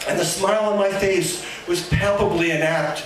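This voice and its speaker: Against light background noise and audible room echo, a man talks at a high pitch with ordinary pitch variation. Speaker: poet. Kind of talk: poetry reading, performed with dry wit and mock-grand diction. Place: cafe.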